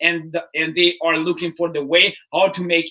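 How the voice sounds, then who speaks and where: Speaking with a non-native accent, a man has a high voice with a bright, sharp tone. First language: not English. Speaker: startup mentor and keynote speaker. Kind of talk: casual chat. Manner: halting.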